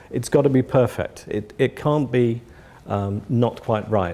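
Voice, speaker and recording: A man with an English accent and a dark, mellow tone talks at a moderate pace with ordinary pitch variation. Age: 60s. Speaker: audio company founder. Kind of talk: interview. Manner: halting, many repetitions.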